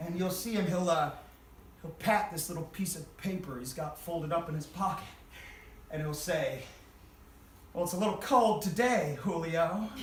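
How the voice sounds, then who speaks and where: A man's high-pitched, energetic voice at a moderate pace, with ordinary pitch variation, long, frequent pauses and noticeable background noise. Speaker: storyteller. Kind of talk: live stage storytelling. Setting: live theater audience. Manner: raucous, energetic.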